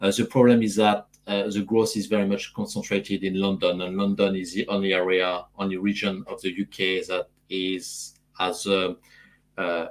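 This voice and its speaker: With a French accent, a man talks at a moderate pace and a fairly low pitch. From France. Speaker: AI consultant. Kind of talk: panel discussion. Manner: halting with many fillers.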